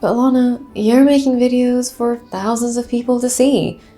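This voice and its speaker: Noticeable background noise fills the recording. A woman talks fairly slowly over it. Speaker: video creator. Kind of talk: personal vlog monologue.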